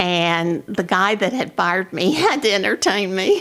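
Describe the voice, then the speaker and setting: A woman with an American accent speaks at a fairly slow pace in a fairly low pitch. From Oklahoma. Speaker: realtor. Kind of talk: oral history interview answer.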